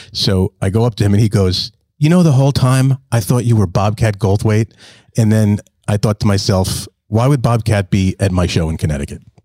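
A man with a fairly low pitch speaks at a fairly quick pace, somewhat breathy, with ordinary pitch variation, very even loudness and a dry, close sound with no echo. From New Jersey. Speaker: podcast co-host, comedian. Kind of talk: casual chat. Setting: studio.

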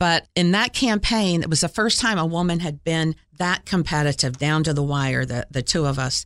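Using a plain, everyday voice with an American accent, the speaker has lively intonation and a moderate pace in a very clean recording with a silent background. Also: woman, fairly low pitch for a woman. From Florida and Ohio (US). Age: 60s. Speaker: city mayor. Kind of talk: interview. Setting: studio.

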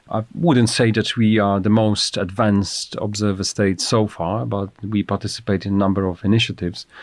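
Fairly low male pitch amid noticeable background noise. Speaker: government Arctic policy adviser. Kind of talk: interview.

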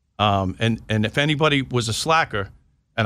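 The recording is very clean, with a silent background. In it, a man talks with a New York accent. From New York, Long Island. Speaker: retired police intelligence officer and author. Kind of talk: interview.

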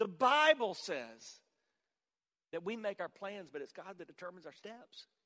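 A man's raised, projected voice with a bright, sharp tone, at a moderate pace. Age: 50s. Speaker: pastor. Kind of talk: sermon.

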